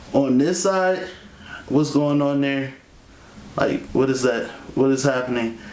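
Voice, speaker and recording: Against audible room echo, a man with a fairly high pitch speaks at a fairly slow pace with very even loudness, ordinary pitch variation and long, frequent pauses. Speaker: vlogger. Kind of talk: video diary update. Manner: casual, energetic.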